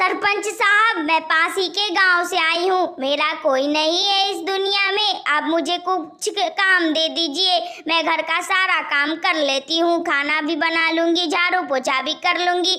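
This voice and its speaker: A woman's cartoonish character voice at an extremely high pitch, with a moderate pace and hardly any pauses. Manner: scheming, swings between threats and false meekness.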